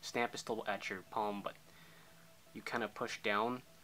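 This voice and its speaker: Over music in the background, a man speaks at a fairly low pitch in a monotone, flat intonation. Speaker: zippo trick tutorial youtuber. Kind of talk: tutorial. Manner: casual, filler-heavy.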